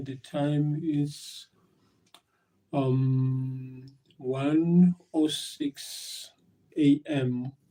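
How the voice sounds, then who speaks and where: A man's voice sits at medium pitch with a dark, mellow tone. He leaves long, frequent pauses. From South Africa. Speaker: live streamer. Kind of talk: casual live stream chat. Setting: live stream at work. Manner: halting, many fillers and repetitions.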